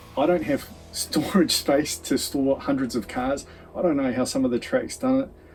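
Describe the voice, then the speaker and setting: Using very wide pitch swings, a man speaks at a moderate pace. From New Zealand. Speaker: diecast racing channel host. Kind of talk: casual vlog talk to camera. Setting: home shed.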